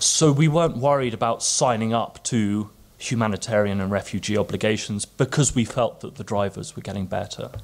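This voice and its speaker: Speaking with an English accent, a man talks at a fairly quick pace. His pitch is medium, with ordinary variation. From England. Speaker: policy analyst. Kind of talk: conference panel talk. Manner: halting, many fillers and repeats.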